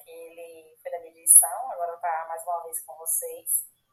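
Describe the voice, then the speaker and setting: A woman's voice with music in the background. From Bahia, Brazil. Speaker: agronomist and young agribusiness leader. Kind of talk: casual interview.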